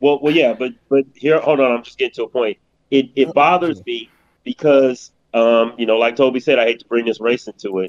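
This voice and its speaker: In a normal speaking voice, a man talks at a fairly quick pace with a medium pitch and ordinary pitch variation. The sound is dry and close, with no echo. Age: 50s. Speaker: podcast co-host. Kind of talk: casual chat.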